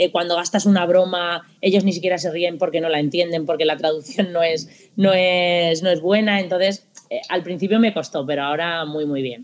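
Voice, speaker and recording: A woman with an ordinary speaking voice, a fairly low pitch, fairly even intonation, a moderate pace and hardly any pauses. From Spain. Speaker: football coach. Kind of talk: interview.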